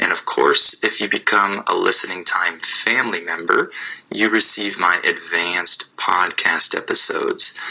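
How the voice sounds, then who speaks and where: Against noticeable background noise, a man with an American accent speaks at a very even loudness. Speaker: English teacher podcaster. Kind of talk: podcast lesson. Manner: slow; clear.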